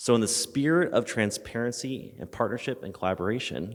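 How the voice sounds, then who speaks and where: Talking at a fairly quick clip, a man lets his pitch rise and fall in an ordinary way. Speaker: audience member asking a question. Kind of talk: audience question. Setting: conference room with audience microphone. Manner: loud.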